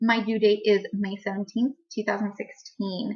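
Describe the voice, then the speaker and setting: A woman speaks at a moderate pace. Her pitch sits fairly high. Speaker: pregnancy vlogger. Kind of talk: casual vlog.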